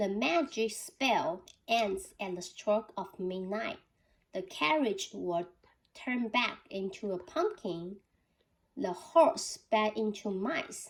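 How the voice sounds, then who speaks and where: In a put-on character voice, a woman speaks at a fairly high pitch. Her pace is very slow. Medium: read story.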